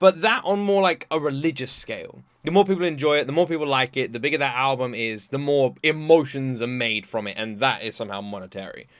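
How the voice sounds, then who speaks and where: With a British accent and a fairly high pitch, a man talks at a very fast pace, his intonation lively and hardly any pauses between words. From Britain. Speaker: reaction video creator. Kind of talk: casual reaction commentary. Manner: animated.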